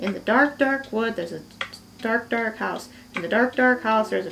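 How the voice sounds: In a put-on character voice, a woman talks at a fairly high pitch. Clear background noise is present. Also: moderate pace.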